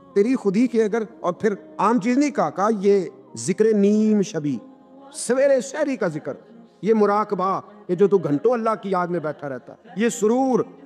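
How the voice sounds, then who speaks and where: Music plays in the background as a man speaks in a high voice with lively intonation. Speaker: Islamic preacher giving a sermon. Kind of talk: religious sermon with storytelling. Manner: emphatic, rhetorical, quoting poetry.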